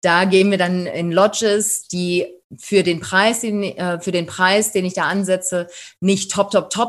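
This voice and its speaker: A woman uses an ordinary speaking voice at medium pitch. She speaks at a fairly slow pace over a quiet background. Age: 40s. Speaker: safari tour operator. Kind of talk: interview.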